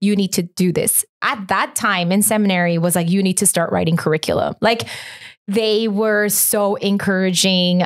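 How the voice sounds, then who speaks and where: Spoken with a Korean accent at very even loudness, the clip is a very clean recording with a silent background. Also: woman, medium pitch for a woman, moderate pace. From Korea, moved to US at nine. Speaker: children's ministry pastor. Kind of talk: casual interview conversation. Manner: animated, many fillers like 'like' and 'um'.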